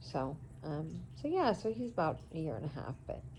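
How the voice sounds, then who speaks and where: A woman with an American accent talks at a moderate pace in a very deep, low pitch marked by vocal fry. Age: 40s. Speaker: vlogger. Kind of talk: casual vlog talk. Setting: indoors in son's apartment.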